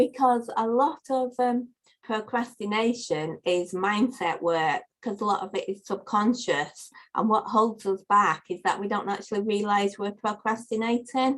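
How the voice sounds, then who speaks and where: With a northern English accent, a woman speaks at a fairly slow pace, with fairly high pitch and ordinary pitch variation. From northern England. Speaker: life coach. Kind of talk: podcast interview.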